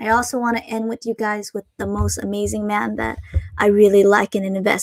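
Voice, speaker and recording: This woman speaks with a slight Asian accent. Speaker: Pokemon card collector and streamer. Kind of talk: live stream chat. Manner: hesitant, many fillers.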